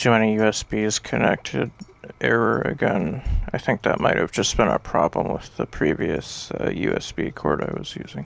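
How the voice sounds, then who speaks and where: Mumbled at a moderate pace, the speech has very wide pitch swings over noticeable background noise. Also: man, fairly low pitch for a man. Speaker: video game streamer. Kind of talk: gameplay livestream commentary. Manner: mumbling; halting.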